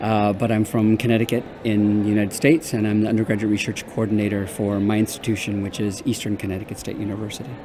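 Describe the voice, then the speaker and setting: Speaking at a very fast pace, a man keeps a monotone, flat intonation. Noticeable background noise sits behind him. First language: Spanish. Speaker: undergraduate research coordinator. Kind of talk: interview. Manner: halting, many fillers and repeats.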